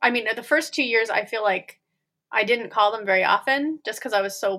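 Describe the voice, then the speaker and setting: At a fairly quick pace, a woman with an American accent speaks in a fairly high, bright, sharp voice with ordinary pitch variation, in a very clean recording with a silent background. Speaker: former private zoo worker. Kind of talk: interview.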